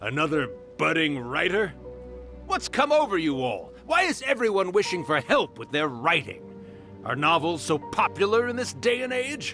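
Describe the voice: Over faint music in the background, a man uses a put-on character voice with a fairly high pitch, big pitch swings, a bright, sharp tone and a moderate pace.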